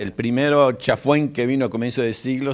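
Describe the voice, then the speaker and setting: This man has a Rioplatense accent. He talks at a fairly quick pace. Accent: Argentine Rioplatense Spanish. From Argentina, Buenos Aires. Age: 60s. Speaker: guest lecturer. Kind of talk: lecture. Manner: halting.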